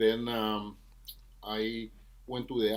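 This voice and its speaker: In a very clean recording with a silent background, a man with a Venezuelan accent talks at a fairly low pitch. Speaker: trombonist and music professor. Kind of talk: podcast interview.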